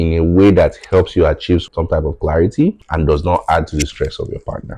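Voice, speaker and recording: A man with a Nigerian accent talks at a fairly quick pace. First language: Yoruba. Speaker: tech founder. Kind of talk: podcast interview.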